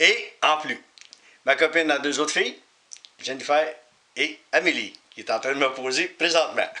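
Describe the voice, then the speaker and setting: With noticeable background noise behind him, a man talks at a fairly slow pace. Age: 50s. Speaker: auto glass technician. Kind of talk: interview testimony.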